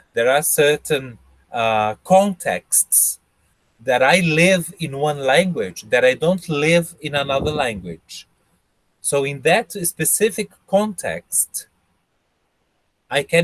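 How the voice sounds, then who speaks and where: Dry, close sound with no echo carries speech at a very slow pace. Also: man, long, frequent pauses. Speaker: English teacher. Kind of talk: interview answering student questions. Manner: halting.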